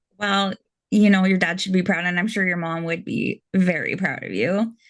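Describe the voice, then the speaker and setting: With a Canadian accent, a woman uses an ordinary speaking voice at medium pitch, moderate pace and fairly even intonation. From Canada. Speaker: interviewer. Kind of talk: interview.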